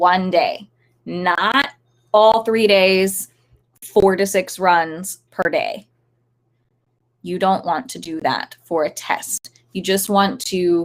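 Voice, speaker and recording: Very slow speech with long, frequent pauses, big swings in loudness and ordinary pitch variation. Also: woman, medium pitch for a woman. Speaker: dog agility trainer. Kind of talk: live stream talk. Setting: live stream. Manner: unscripted, many fillers.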